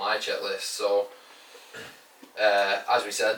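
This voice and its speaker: Through noticeable background noise comes a man with a northern English accent. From northern England. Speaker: fitness coach and podcast co-host. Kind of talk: casual podcast chat.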